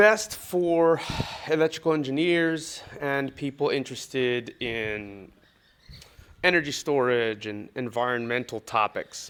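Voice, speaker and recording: At a very slow pace, a man with an American accent talks at a medium pitch with lively intonation. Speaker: English teacher. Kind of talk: lesson introduction.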